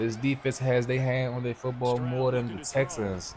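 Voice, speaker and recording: A moderate pace in an American accent, with noticeable background noise. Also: man. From Washington DC area. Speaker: gaming YouTuber. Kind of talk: gameplay commentary.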